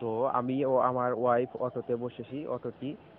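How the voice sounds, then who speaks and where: Over light background noise, the voice holds a monotone, flat intonation in a dry sound with no echo. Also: man. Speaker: vlogger. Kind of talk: casual vlog chat. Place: street. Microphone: phone near.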